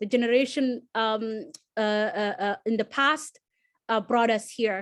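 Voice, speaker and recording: Against a quiet background, a woman with a fairly high pitch speaks with a Somali accent. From Somalia. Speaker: alumni panelist. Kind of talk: panel discussion. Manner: halting.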